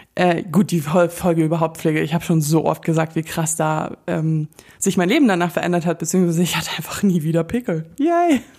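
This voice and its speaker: A woman's fairly low pitch at a fairly quick pace, over noticeable background noise. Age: 30s. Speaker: podcast host. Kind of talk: casual monologue. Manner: animated.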